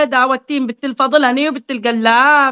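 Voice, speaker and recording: A woman speaks in a Qatifi accent at a high pitch. Her tone is animated. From Qatif, Eastern Province, Saudi Arabia. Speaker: social media live streamer. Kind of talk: casual chat on a live stream. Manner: informal.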